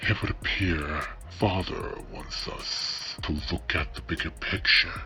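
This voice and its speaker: Clear music plays in the background as a man uses a put-on character voice at a fairly slow pace. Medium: read story. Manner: snarky, brash.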